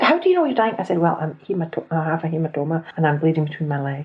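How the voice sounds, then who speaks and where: Her voice is somewhat breathy and fairly low in pitch for a woman. The intonation stays lively. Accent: Scottish. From Scotland. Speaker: podcast host. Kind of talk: personal storytelling. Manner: conversational.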